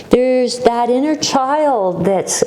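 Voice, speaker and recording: A woman talks in a calm, soothing tone with ordinary pitch variation. Noticeable background noise runs underneath. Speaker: yoga instructor. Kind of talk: guided yoga class instruction. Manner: calm, slow, soothing.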